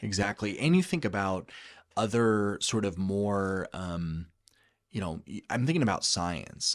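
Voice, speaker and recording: A man uses a normal speaking voice at a fairly low pitch with ordinary variation and a moderate pace. The recording is very clean, with a silent background. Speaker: state education chief of staff. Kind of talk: podcast interview answer.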